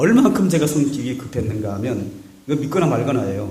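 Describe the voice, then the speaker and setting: Audible room echo on a man's fairly high voice. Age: 50s. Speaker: pastor. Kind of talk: sermon. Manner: animated.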